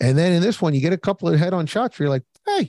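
A man speaks with an American accent in a dark, mellow tone. The recording is very clean, with a silent background. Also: dry, close sound with no echo. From Philadelphia. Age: 40s. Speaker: podcast guest. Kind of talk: casual chat.

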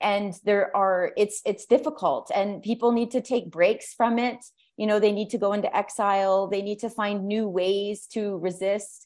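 Woman with a Canadian accent and an ordinary speaking voice, medium pitch, fairly even intonation, moderate pace and hardly any pauses, against a quiet background. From Canada. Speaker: activist and podcast host. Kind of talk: panel presentation.

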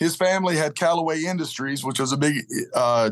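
A man has a normal speaking voice, fairly high in pitch. He talks at a fairly quick pace against a quiet background. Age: 50s. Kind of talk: interview. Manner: storytelling.

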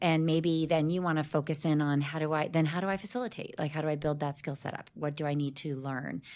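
A woman speaks very fast, with hardly any pauses. Her voice is very deep and low, and her intonation is fairly even. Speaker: diversity and inclusion consultant. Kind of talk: casual interview chat. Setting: podcast interview.

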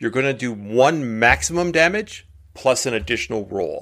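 Here a man speaks at a medium pitch with a fairly bright tone. His pace is moderate and his intonation lively.

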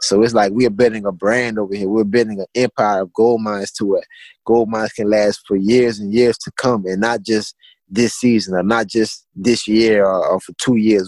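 In a Louisiana accent, a man speaks with a fairly low pitch and monotone, flat intonation, the sound dry and close with no echo on a very clean recording with a silent background. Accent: Southern US, Louisiana. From Louisiana, Assumption Parish. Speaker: clothing brand founder. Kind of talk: interview.

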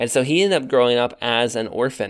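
An unremarkable speaking voice from a man, medium-pitched and fairly quick, with ordinary pitch variation. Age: 30s. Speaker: podcast host, church history. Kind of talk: casual chat.

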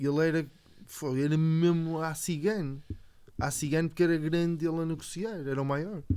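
The man's voice has a dark, mellow tone and a fairly high pitch, moving at a moderate pace with fairly even intonation. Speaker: podcast co-host. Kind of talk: casual chat.

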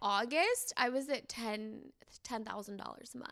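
A woman with a Californian accent speaks in a bright, sharp tone. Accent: Californian American English. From San Diego, California. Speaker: influencer and content creator. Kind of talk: casual chat. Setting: on a couch with the host.

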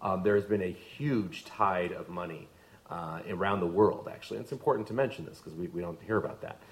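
A man speaks at a very fast pace with a fairly low pitch and ordinary pitch variation. His loudness swings widely, and background noise is noticeable. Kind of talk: debate discussion.

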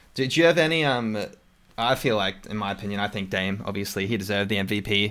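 This man talks very fast with an Australian accent, at a fairly low pitch with ordinary variation. The recording is very clean, with a silent background. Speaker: podcast host. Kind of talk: casual chat about basketball.

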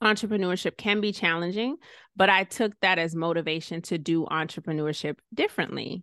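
With an American accent and a plain, everyday voice, a woman speaks at a moderate pace with a fairly low pitch and fairly even intonation, the sound dry and close with no echo against a quiet background. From Georgia, US (Savannah, Stone Mountain area). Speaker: real estate investor and insurance professional. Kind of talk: interview.

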